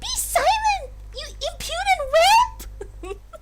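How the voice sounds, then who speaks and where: A female-sounding voice performs a put-on character at an extremely high pitch. The pace is fairly slow. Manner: haughty, commanding.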